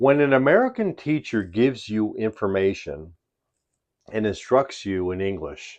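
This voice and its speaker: A man with a Chicago accent, medium pitch and lively intonation, over a quiet background. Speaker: English teacher. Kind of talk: tutorial. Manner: slow, deliberate.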